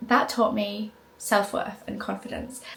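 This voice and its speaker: Amid noticeable background noise, a woman with a British accent speaks at a moderate pace in a fairly high pitch. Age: 20s. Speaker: lifestyle content creator. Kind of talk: casual vlog talk to camera. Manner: animated.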